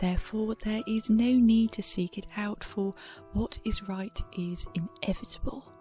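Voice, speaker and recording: Over music in the background, a soft-spoken woman with a British accent talks at a fairly slow pace with fairly even intonation. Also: fairly high pitch for a woman. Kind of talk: soft-spoken ASMR storytime.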